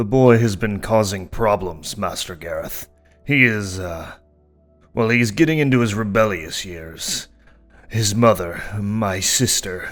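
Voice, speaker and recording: This put-on character voice moves at a fairly slow pace while faint music plays in the background. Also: man, fairly low pitch for a man. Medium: read story. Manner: blustering, stammering when angry.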